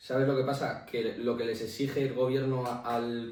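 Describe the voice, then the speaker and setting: With a Basque accent, a man talks at a medium pitch amid audible room echo. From Basque Country, Spain. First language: Basque (speaking Spanish). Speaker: podcast co-host. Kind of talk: casual debate.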